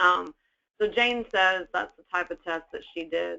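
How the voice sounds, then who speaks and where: A woman's voice of fairly low pitch. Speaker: naturopathic doctor. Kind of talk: webinar lecture. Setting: online webinar. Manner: fast.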